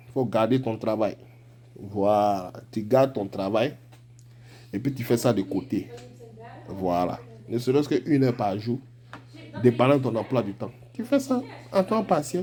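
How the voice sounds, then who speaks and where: This man has an Ivorian accent and a medium pitch with ordinary pitch variation. He talks at a fairly slow pace, leaving long, frequent pauses. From Ivory Coast. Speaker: forex trading coach. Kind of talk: live trading tutorial. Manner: casual, animated.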